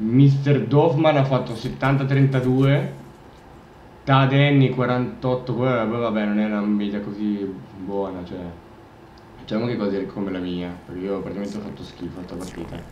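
Amid light background noise and audible room echo, a man talks at a fairly slow pace with lively intonation, big swings in loudness, and long, frequent pauses. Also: medium pitch for a man. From Italy. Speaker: gamer. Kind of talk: live gameplay commentary. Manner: animated; frustrated, swearing. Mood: mildly self-critical, relaxed. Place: home room.

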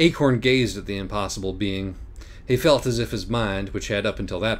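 A natural reading voice, its pitch shifting in an ordinary way

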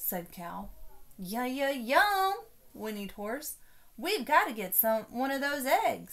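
This clip features a natural reading voice.

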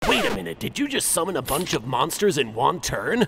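A man talks at a fairly quick pace. His pitch is fairly high. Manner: prim, polite.

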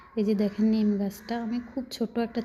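Her delivery is monotone, with flat intonation and a fairly high pitch. This woman sounds somewhat breathy, with a dark, mellow tone. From Rangpur, northern Bangladesh. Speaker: gardening vlogger. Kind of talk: casual vlog narration.

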